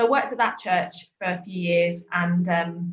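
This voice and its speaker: Somewhat breathy, a woman speaks with a southern English accent at a fairly low pitch. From southern England, Worthing. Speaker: trainee vicar. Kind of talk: casual interview.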